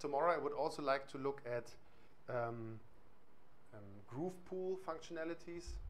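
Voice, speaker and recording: With a German accent, the speaker talks at a moderate pace with ordinary pitch variation, and audible room echo surrounds the voice. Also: man, fairly high pitch for a man. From East Germany. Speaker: music software trainer. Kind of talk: workshop tutorial. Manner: hesitant, many fillers.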